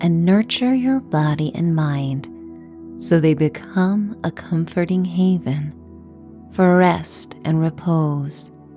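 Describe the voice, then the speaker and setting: A woman speaking at a very slow pace, with music in the background. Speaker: meditation guide. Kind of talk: guided sleep meditation. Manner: calm, soothing, slow.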